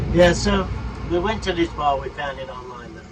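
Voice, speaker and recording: A man is speaking. Noticeable background noise and audible room echo are present. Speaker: RV travel vlogger. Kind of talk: casual travel vlog chat; on-location piece to camera. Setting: outdoors among wildflowers.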